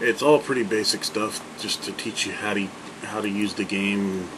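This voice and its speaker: Speech at a moderate pace carries audible room echo over noticeable background noise. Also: man. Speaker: video game commentator. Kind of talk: gameplay commentary. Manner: casual, filler-heavy; trying not to shout. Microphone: far from the mic, may be too quiet.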